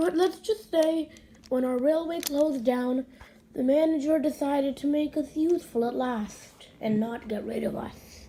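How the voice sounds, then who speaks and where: A woman uses a put-on character voice with a high pitch. She talks at a moderate pace. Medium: read story.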